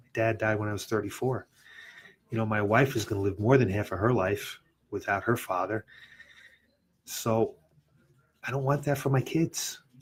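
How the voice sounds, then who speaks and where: A somewhat breathy man with an American accent, medium pitch, and long, frequent pauses. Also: ordinary pitch variation, moderate pace. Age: 60s. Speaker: fitness studio owner and podcast host. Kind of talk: personal story on a podcast.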